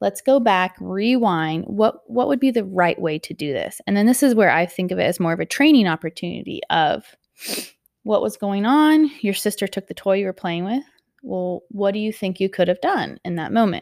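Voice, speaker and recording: At a moderate pace, a woman in a normal speaking voice of medium pitch talks with lively intonation, the sound dry and close with no echo in a very clean recording with a silent background. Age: 30s. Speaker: parenting podcast host. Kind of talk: solo podcast monologue.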